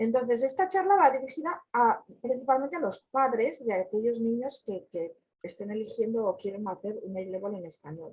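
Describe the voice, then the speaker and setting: Her pitch sits fairly high for a woman. She talks at a fairly quick pace. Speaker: community educator. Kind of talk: online talk.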